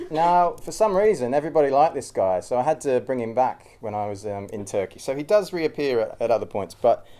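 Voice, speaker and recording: Here a man with a strong Australian accent talks at a fairly quick pace. His pitch is medium, with very wide swings. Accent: thick Australian. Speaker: cyclist and traveller giving a talk. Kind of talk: informal public talk. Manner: hesitant, many fillers.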